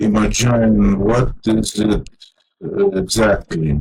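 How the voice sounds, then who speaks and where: In a Lithuanian accent, a man speaks with a fairly low pitch, a somewhat breathy tone, and fairly even intonation. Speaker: vlogger. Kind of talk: personal monologue. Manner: halting, many fillers.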